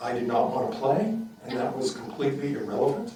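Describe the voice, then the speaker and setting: Speaking fairly slowly, a man with an American accent uses a medium pitch and lively intonation. Noticeable background noise and audible room echo are in the recording. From Boston area, Massachusetts. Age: 70s. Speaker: retired neurosurgeon and memoir author. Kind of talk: author talk interview. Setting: library event with live audience.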